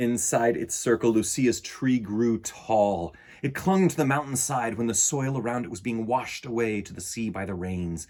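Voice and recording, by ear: At a moderate pace with few pauses, a man speaks at a medium pitch with a slightly mellow tone and ordinary pitch variation.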